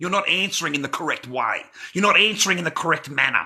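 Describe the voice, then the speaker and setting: A man with an Australian accent at a fairly quick pace, fairly high-pitched, bright and sharp in tone, with vocal fry. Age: 50s. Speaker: livestreamer. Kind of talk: casual livestream rant. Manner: animated.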